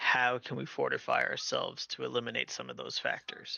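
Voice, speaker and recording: A raspy, put-on character voice from a man at a fairly quick pace. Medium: actual play. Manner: measured, solemn.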